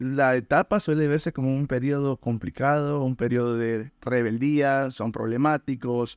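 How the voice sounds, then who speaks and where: In a dry, close sound with no echo and a quiet background, a man with a plain, everyday voice speaks at a medium pitch and a fairly slow pace. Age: 20s. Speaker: podcast host, life coach. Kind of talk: interview.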